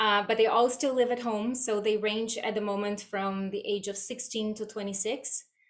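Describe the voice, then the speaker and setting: A woman with a Brazilian accent speaks in a fairly high voice, her intonation flat and monotone. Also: moderate pace. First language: Portuguese. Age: 40s. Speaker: guest mother with chronic illness. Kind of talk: podcast interview.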